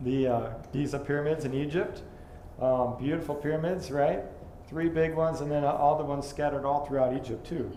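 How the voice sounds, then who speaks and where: Through noticeable background noise and audible room echo, a man with a fairly high pitch talks at a fairly quick pace with fairly even intonation. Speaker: lecturer on creationist archaeology. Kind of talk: lecture. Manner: fast; hesitant, many fillers.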